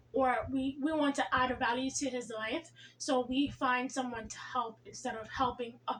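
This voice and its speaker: Over noticeable background noise, a woman speaks at a moderate pace with a high pitch and fairly even intonation. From Jamaica. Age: 20s. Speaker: relationship vlogger. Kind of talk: casual talk to camera.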